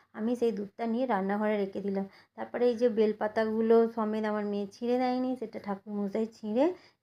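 Her fairly high-pitched voice has a dark, mellow tone and a monotone, flat intonation. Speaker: home vlogger. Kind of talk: vlog narration. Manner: halting.

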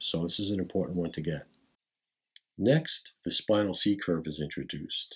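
A man's very deep, low pitch with ordinary pitch variation over a quiet background. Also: moderate pace. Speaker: qigong teacher. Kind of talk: tutorial. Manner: formal. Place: home room. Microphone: camera far.

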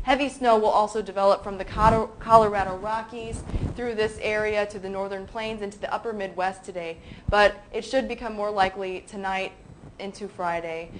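Over light background noise, a woman talks at a moderate pace with fairly even intonation but big swings in loudness. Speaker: weather reporter for a commodity futures site. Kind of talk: scripted daily weather update read aloud. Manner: brisk reading with stumbles and repeated words; urgent warning tone, repeating watch out for this. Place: studio.

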